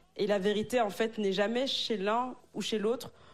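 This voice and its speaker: A woman's plain, everyday voice at a moderate pace, with ordinary pitch variation. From Africa. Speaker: married churchgoer sharing dating story. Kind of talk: casual panel discussion.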